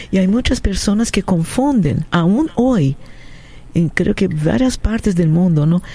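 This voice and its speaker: Someone with a Portuguese accent speaks at a fairly slow pace with very wide pitch swings and very even loudness. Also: woman, medium pitch for a woman. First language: Portuguese (speaking Spanish). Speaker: radio co-host. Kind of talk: radio call-in show hosting.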